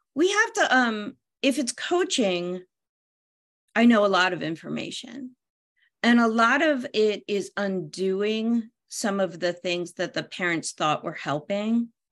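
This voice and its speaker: Over a quiet background, a woman speaks at a fairly slow pace with a fairly high pitch and an American accent. She has a plain, everyday voice with lively intonation. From US Northeast, near Philadelphia. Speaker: parent coach and parenting columnist. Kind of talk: casual interview. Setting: video call from her bedroom.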